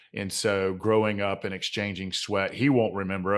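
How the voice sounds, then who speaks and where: A man with a Southern accent and a fairly low pitch speaks at a fairly quick pace with fairly even intonation over a quiet background. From US South, Georgia (Clayton County, south Atlanta). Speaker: mindset coach and author. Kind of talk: podcast interview.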